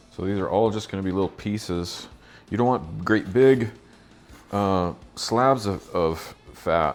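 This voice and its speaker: Behind a man talking at a moderate speed with ordinary pitch variation, music plays. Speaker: cooking channel host. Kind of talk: tutorial. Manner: casual.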